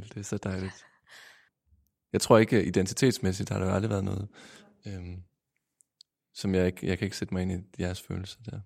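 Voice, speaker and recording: A man speaks at a moderate pace in a very deep, low pitch, flat and monotone, with long, frequent pauses. The recording is very clean, with a silent background. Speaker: radio host. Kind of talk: interview.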